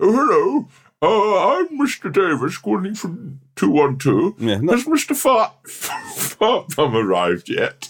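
A man uses a high-pitched put-on character voice. He talks very slowly with hardly any pauses. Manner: silly prank-call voice.

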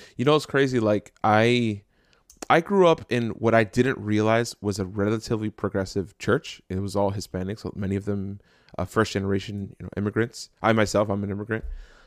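A man with an American accent speaks at a fairly low pitch and a fairly quick pace, with ordinary pitch variation and a normal speaking voice. The recording is very clean and dry, close with no echo, against a silent background. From New Jersey, Jersey City. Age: 30s. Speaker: podcast host. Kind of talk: casual chat.

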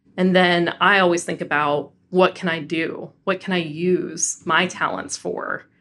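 A woman with a General American accent speaks at a fairly low pitch. Her tone is bright and sharp. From Colorado, Denver. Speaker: diversity and inclusion executive. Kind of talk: interview.

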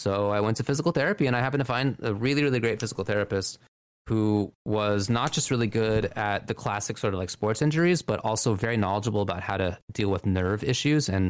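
Talking fairly quickly, a man has a plain, everyday voice whose pitch varies in an ordinary way. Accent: American. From US West Coast, Los Angeles. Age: 30s. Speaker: fighting game commentator. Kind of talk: casual interview chat. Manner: articulate.

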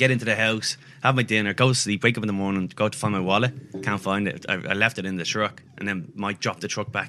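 A man speaks very fast with an Irish accent. His tone is bright and sharp, and his intonation stays fairly even. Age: 30s. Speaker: comedian. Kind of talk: casual chat.

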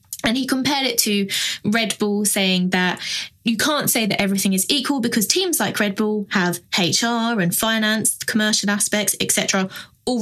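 A woman talks with a normal speaking voice and ordinary pitch variation. Her pitch is medium and her pace moderate. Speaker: podcast panelist. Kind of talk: casual panel chat about F1 news.

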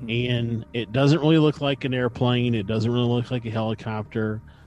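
Music plays in the background. A man speaks at a medium pitch with fairly even intonation. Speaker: podcast co-host. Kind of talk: casual chat.

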